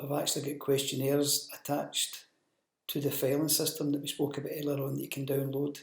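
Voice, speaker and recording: A man speaks at a fairly quick pace with a somewhat breathy voice. His pitch sits fairly high. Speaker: business development manager presenting training. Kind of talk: recorded training presentation. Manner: monotone.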